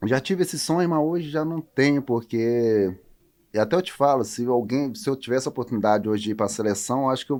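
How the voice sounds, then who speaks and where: The recording is very clean with a silent background, and a man uses a plain, everyday voice at medium pitch, with ordinary pitch variation and a moderate pace. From Roraima, northern Brazil. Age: 30s. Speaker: professional volleyball player. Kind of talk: interview.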